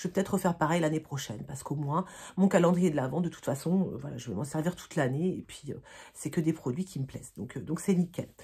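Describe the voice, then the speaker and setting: A woman with a fairly low pitch and lively intonation sounds somewhat breathy on a very clean recording with a silent background. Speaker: beauty vlogger. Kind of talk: casual chat. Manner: halting, many fillers.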